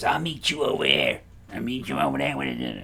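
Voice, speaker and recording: A man performs a put-on character voice at a fairly quick pace. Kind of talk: casual, rough.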